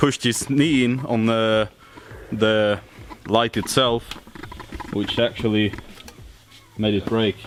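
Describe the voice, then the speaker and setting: Over noticeable background noise, a man with a Swedish accent speaks at medium pitch and a fairly slow pace. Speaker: car vlogger. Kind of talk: casual vlog. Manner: hesitant, many fillers.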